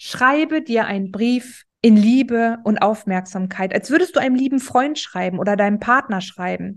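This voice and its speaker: An animated tone with ordinary pitch variation over a quiet background. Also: woman. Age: 30s. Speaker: podcast host, self-love coach. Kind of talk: motivational monologue.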